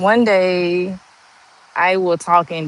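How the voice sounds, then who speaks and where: The woman speaking keeps her intonation fairly even. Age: 40s. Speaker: YouTube livestreamer and Navy veteran. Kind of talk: casual livestream chat.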